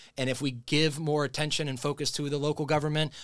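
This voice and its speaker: A man's fairly high voice in a very clean recording with a silent background. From Florida Panhandle, moved from upstate New York at ten. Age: young. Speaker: mayor. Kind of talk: interview. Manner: fast; animated.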